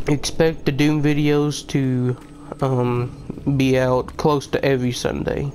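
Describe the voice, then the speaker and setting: Against noticeable background noise, a man speaks very slowly with monotone, flat intonation. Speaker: gaming YouTuber. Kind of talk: casual channel update to viewers.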